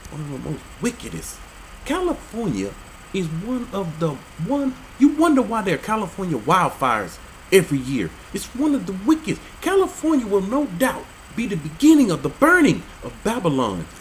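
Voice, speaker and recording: Noticeable background noise sits behind the voice. The tone is animated and the pace moderate. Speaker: religious video commentator. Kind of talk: commentary reading out and reacting to laws. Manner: animated, incredulous.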